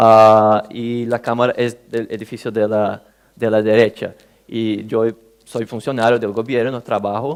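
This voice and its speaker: A man with a Portuguese accent talks fairly slowly at a medium pitch. His intonation is monotone and flat, and the recording is very clean, with a silent background. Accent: Portuguese-accented Spanish (portuñol). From Brazil. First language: Portuguese (speaking Spanish). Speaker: government official, conference speaker. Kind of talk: conference talk. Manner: halting, with many fillers.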